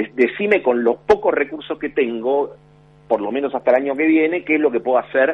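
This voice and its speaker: The man's medium-pitched voice moves at a fairly quick pace. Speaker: political analyst. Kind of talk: phone interview. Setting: phone call. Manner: halting, many repetitions.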